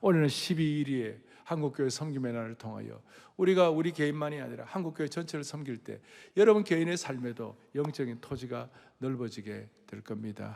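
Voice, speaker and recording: Fairly high in pitch, a man speaks at a fairly quick pace. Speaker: pastor. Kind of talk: sermon. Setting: church.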